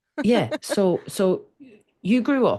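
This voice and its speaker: Here a woman has a dark, mellow tone. The background is quiet. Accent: Irish. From Ireland. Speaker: communication coach. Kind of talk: interview conversation. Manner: halting, frequent restarts.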